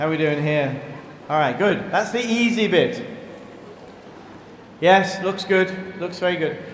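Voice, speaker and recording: A man with a British accent at a fairly slow pace, with very wide pitch swings, noticeable background noise and audible room echo. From Britain. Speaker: priest. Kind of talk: sermon. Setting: church. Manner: halting.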